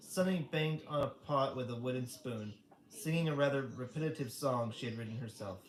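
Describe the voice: Text read aloud plainly, the pitch moving in an ordinary way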